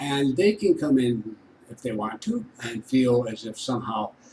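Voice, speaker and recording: This man's voice sits at a medium pitch. Noticeable background noise can be heard throughout. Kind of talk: casual talk to camera.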